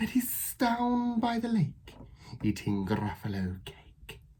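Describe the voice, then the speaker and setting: This is a put-on character voice. It moves along at a fairly slow pace. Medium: read story.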